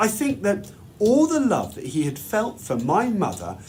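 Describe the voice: A man talks at a fairly slow pace in a fairly high pitch. His pitch swings very widely.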